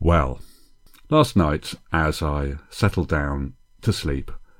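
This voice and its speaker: Soft-spoken and very slow, a man talks in a very clean recording with a silent background. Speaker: podcast host, comedy writing teacher. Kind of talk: solo podcast monologue. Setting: home, early morning. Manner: speaking quietly, soft; intimate, close to mic like late-night DJ.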